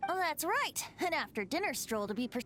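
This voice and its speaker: A put-on character voice, high-pitched with very wide pitch swings, moves at a fairly quick pace. Clear background noise can be heard. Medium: video game. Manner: playful, light.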